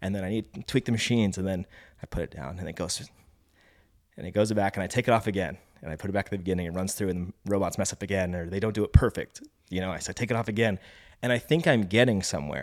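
On a very clean recording with a silent background and a dry, close sound with no echo, a man talks at a very fast pace in a fairly low voice with ordinary pitch variation. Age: 30s. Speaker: filmmaker and cinematographer. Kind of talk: casual chat.

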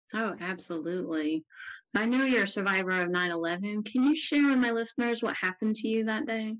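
With an unremarkable speaking voice, a woman talks at a fairly quick pace and fairly high pitch, her intonation lively. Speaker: podcast host. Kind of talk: interview conversation.

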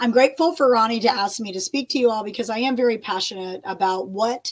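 Lively in intonation, a woman with an American accent uses a normal speaking voice at a fairly high pitch. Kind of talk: online Bible teaching. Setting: recorded video.

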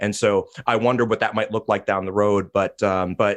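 A man's fairly low voice with fairly even intonation over a quiet background. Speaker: podcast host. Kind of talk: casual chat. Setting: video recording. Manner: fast talker.

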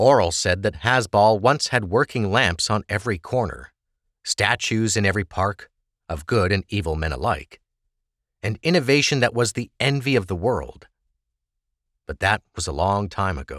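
A man with a plain, everyday voice talks at a moderate pace, fairly low in pitch and with lively intonation. The very clean recording has a silent background and a dry, close sound with no echo. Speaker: audiobook narrator. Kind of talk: dramatic fantasy audiobook narration with character dialogue. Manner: measured, expressive storytelling cadence; voices distinct characters in dialogue.

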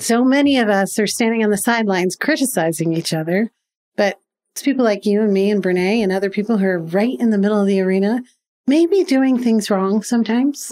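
Recorded very cleanly against a silent background, a woman speaks at a fairly quick pace and fairly high pitch. Her tone is dark and mellow, her intonation lively, and her loudness very even. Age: 50s. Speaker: business founder and CEO. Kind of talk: interview.

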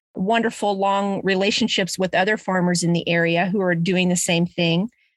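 A woman in an Ozarks accent at medium pitch, fairly even intonation, and a very clean recording with a silent background. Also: dry, close sound with no echo. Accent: Missouri Ozarks American. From US Midwest, Springfield, Missouri (Ozarks). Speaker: community garden founder. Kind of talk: interview. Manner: halting, many fillers.

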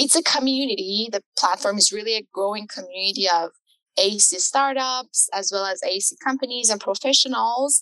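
At a moderate pace, a woman with a fairly high pitch, ordinary pitch variation and a bright, sharp tone speaks in a dry, close sound with no echo. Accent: Iranian. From Iran. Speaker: architecture tech startup founder. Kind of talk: podcast interview.

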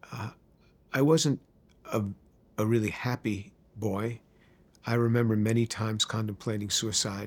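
A man with a New York accent keeps fairly even intonation at a moderate pace, with long, frequent pauses. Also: medium pitch for a man. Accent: New York American. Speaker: chemistry professor. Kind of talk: testimony. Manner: halting, many fillers.

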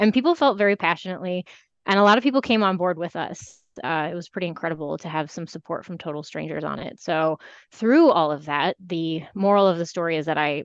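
Against a quiet background, a woman with a fairly low pitch talks at a very fast pace with ordinary pitch variation. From Iowa. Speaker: city council candidate. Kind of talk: interview.

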